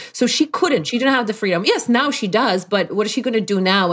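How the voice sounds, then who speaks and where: Speaking at a fairly quick pace, a woman with a Polish accent uses ordinary pitch variation. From Poland. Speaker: life performance coach. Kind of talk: interview.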